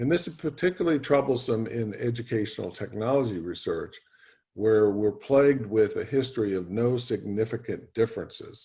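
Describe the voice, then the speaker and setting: A man speaks at a medium pitch and a fairly quick pace with ordinary pitch variation. His voice is somewhat breathy, with a dark, mellow tone. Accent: American. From USA. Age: 70s. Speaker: professor. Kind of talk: lecture. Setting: video call. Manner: hesitant fillers.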